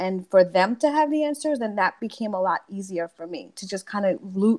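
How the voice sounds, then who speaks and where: Intonation is lively, and the pace is moderate. The recording is very clean, with a silent background. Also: woman. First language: Spanish. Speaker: teacher. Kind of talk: panel discussion. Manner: halting, many restarts.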